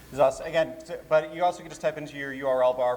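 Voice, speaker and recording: A man with an American accent talks in a fairly high voice and fairly even intonation, with noticeable background noise behind him. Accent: slight Boston accent that slips out. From Boston, Massachusetts. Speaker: convention programming director and DJ. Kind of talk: live convention panel. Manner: casual, joking.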